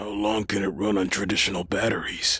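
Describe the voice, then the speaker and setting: Using a put-on character voice, a man talks at a fairly quick pace in a raspy, fairly low pitch with monotone, flat intonation. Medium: audio drama. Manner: deadpan.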